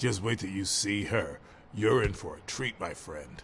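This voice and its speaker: Putting on a growling character voice, a man with a fairly low pitch talks at a moderate pace with lively intonation over clear background noise. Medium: video game. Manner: chummy, crude, laughing; stammers.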